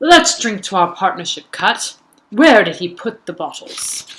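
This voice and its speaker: Moderate pace and middle pitch in a put-on character voice. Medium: read story. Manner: sly, false friendliness.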